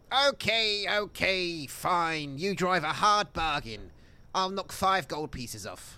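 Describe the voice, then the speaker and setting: In a put-on character voice with a high pitch, a man speaks at a very slow pace on a very clean recording with a silent background. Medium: actual play. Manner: cautious, suspicious.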